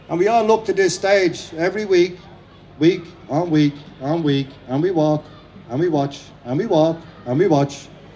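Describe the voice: An Irish-accented man speaks at a moderate pace in a fairly high pitch, with a dark, mellow tone and ordinary pitch variation.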